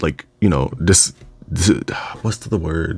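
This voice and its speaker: At a moderate pace, a man delivers his words. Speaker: video essayist / reviewer. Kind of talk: casual monologue review. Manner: halting, many fillers and restarts.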